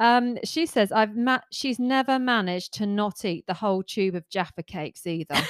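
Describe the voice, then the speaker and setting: In a plain, everyday voice, a woman talks at a moderate pace with a fairly high pitch, lively intonation and hardly any pauses, the sound dry and close with no echo. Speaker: podcast co-host. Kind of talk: casual chat.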